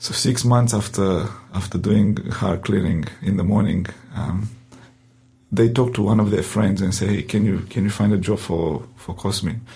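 With a Romanian accent, a man talks at a moderate pace with fairly low pitch and fairly even intonation. Noticeable background noise sits behind him. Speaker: pastor. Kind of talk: interview testimony. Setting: studio.

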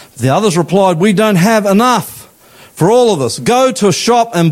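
With an Australian accent, a man speaks at a high pitch and moderate pace over noticeable background noise. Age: 50s. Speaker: pastor. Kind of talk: sermon. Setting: church. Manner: animated.

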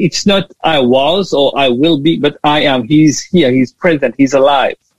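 A man's somewhat breathy voice, fairly high-pitched, with ordinary pitch variation. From Mauritius. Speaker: theology lecturer. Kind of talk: interview.

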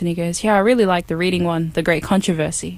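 A woman with an Australian accent, fairly low pitch and very fast pace. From far north Queensland, Australia. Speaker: volunteer missionary canvasser. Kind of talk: interview testimony.

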